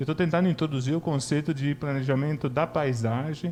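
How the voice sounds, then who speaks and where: A man's dark, mellow voice with fairly even intonation at a fairly quick pace. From Italy. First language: Italian (speaking Portuguese). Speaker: professor. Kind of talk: self-introduction at public hearing.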